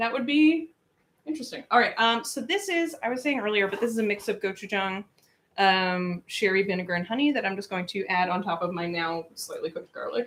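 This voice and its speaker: A woman's normal speaking voice, fairly high in pitch, at a fairly quick pace. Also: lively intonation. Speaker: cooking livestream host. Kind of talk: casual livestream chat while cooking.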